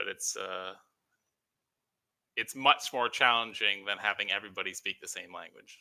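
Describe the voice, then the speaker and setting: A man at medium pitch with ordinary pitch variation has a bright, sharp tone, big swings in loudness and long, frequent pauses. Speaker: online game fleet commander. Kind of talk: casual chat. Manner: fast-talking.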